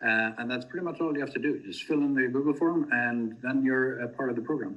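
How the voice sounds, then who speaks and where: This voice belongs to a man. It sits at a medium pitch. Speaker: crypto project team member. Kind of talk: community video call presentation. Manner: many fillers and hesitations.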